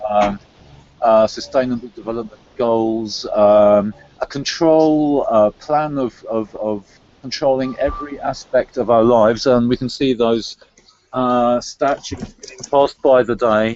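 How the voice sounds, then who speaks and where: In a London accent, a man speaks at a fairly slow pace with a medium pitch and fairly even intonation. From England, London. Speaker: conspiracy-theory discussion guest. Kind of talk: casual chat. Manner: halting, with many fillers and repetitions.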